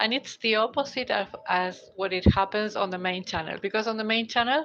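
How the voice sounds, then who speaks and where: A woman with a Spanish accent at a fairly high pitch, over a quiet background. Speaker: tarot reader and audiobook narrator. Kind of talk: live stream talk. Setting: live stream on mobile phone. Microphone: basic mobile phone.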